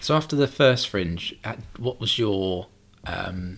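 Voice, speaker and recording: A man's normal speaking voice, fairly low in pitch, with ordinary pitch variation. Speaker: podcast host. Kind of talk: casual interview chat.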